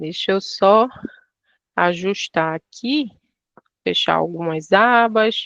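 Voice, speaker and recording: A woman speaks at a very slow pace with an northeastern Brazilian accent, her pitch medium and ordinary in variation. The sound is dry and close, with no echo. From Pernambuco, Brazil. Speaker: travel operator product staff. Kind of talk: online training webinar.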